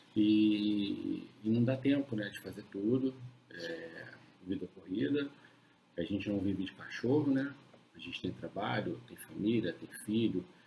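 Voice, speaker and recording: Over light background noise, a man talks at a fairly slow pace in a fairly low pitch with lively intonation. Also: big swings in loudness. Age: 40s. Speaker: dog breeder. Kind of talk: casual live stream chat. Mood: calm, reflective. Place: home room. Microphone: webcam.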